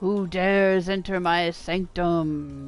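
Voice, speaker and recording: A booming put-on character voice at a middle pitch, delivered at a very slow pace. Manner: commanding, imposing.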